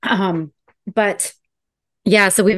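A woman with an American accent speaks very slowly in a bright, sharp tone. The background is quiet. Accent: slight Southern US, surfaces when nervous. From US South. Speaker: podcast host. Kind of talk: casual chat.

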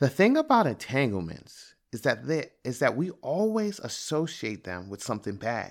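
In an American accent, the voice sweeps through very wide pitch swings on a very clean recording with a silent background. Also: man. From Prince George's County, Maryland, US. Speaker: podcast host, father. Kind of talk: scripted narration.

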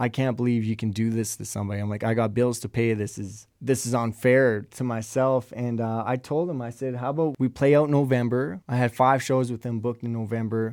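A man with a Canadian accent, a plain, everyday voice, medium pitch, fairly even intonation and a moderate pace, on a very clean recording with a silent background. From Alberta, Canada. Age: 20s. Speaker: freelance drummer. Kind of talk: casual interview. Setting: studio.

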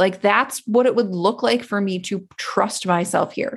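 Her intonation lively and her pace fairly slow, a woman talks in an ordinary speaking voice. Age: 40s. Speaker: podcast host and business coach. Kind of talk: solo podcast monologue. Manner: casual with frequent fillers and laughs.

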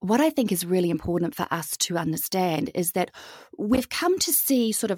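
In a New Zealand accent, a woman speaks at a fairly quick pace with a medium pitch and lively intonation. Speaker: holistic well-being educator. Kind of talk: podcast interview.

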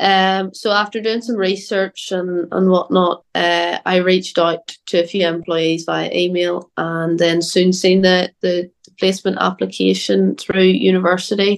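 With a Northern Irish accent, a woman speaks at medium pitch and a fairly slow pace, her intonation flat and monotone and her speech hardly pausing. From Northern Ireland. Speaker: agriculture student. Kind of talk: interview. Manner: hesitant, many fillers and repeats.

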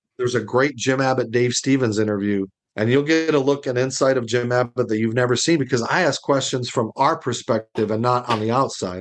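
A plain, everyday voice with an American accent moves at a fairly quick pace with hardly any pauses. Its loudness stays very even, and the intonation is fairly even. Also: man, medium pitch for a man. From Arizona, US. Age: 50s. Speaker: motivational speaker and former athlete. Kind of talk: casual interview.

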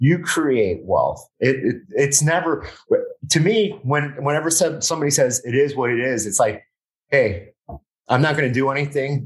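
Somewhat breathy, a man speaks in a fairly high voice at a moderate pace. His intonation is lively. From Miami, Florida (Westchester), Colombian family. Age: 40s. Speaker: podcast host. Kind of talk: casual interview chat. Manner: halting, repetitive stammering.

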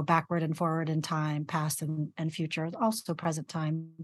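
A woman with a normal speaking voice and fairly low pitch, at a moderate pace against a quiet background. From US, immigrant family from the Philippines. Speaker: psychotherapist. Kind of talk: interview.

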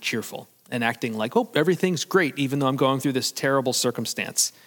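Lively in intonation, a man speaks with a normal speaking voice at a medium pitch. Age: 40s. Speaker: pastor. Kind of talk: sermon. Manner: casual, conversational.

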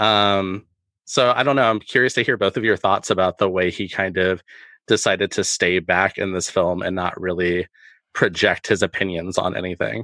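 Fairly even in intonation, a man speaks with a very deep, low pitch. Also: moderate pace. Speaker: podcast co-host. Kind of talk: casual film discussion podcast.

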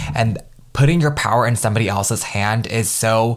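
In an animated tone, a man talks at a fairly quick pace. His pitch is medium, with ordinary pitch variation. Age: 20s. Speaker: lifestyle podcast host. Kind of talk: casual solo podcast monologue.

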